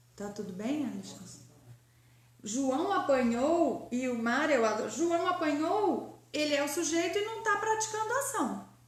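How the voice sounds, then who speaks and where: A woman with a high voice speaks at a fairly slow pace, her pitch swinging very widely. Audible room echo and noticeable background noise surround her. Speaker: grammar teacher. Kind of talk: online lecture.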